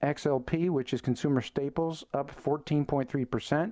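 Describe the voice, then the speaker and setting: A quiet background behind a man's dark, mellow tone. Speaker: radio host. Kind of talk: radio host patter. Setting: radio studio. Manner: punchy, confident broadcaster; direct, opinionated.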